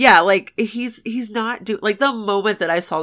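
An animated, bright, sharp tone comes through on a very clean recording with a silent background. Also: woman. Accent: American. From US South. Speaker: podcast co-host. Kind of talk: casual chat. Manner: animated, laughs often.

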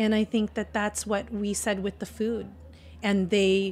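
A woman's somewhat breathy voice in monotone, flat intonation. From US, Filipino-American family. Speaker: restaurateur and cookbook author. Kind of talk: casual interview.

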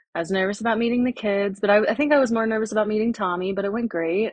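A woman talks in a somewhat breathy, fairly high voice whose pitch varies in an ordinary way. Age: 30s. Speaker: podcast co-host. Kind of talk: casual chat.

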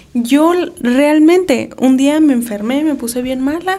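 A high-pitched woman at a very slow pace, with noticeable background noise. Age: 30s. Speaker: podcast co-host. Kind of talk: casual chat.

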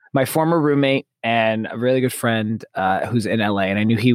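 Over music in the background, a man speaks at a moderate pace and medium pitch with ordinary pitch variation. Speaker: podcast writer, director and actor. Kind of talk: casual chat.

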